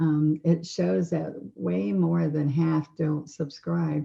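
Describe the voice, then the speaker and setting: A soft-spoken woman's very deep, low voice at a very slow pace. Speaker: painting instructor. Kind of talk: tutorial. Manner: relaxed.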